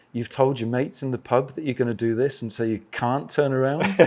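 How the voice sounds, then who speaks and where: A man with an English accent and a medium pitch. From England. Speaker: travel author and adventure motorcyclist. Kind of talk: casual interview chat.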